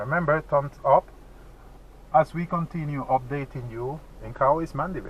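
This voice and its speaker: A man's fairly high, somewhat breathy voice with a Spanish accent, at a fairly slow pace. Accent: Spanish-speaker accent in English. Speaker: vlogger. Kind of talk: casual driving vlog narration. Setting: in a car.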